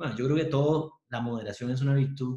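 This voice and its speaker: A man with a medium pitch speaks in a somewhat breathy way. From Costa Rica, Pérez Zeledón. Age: 40s. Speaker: university professor and lawyer. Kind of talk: interview conversation.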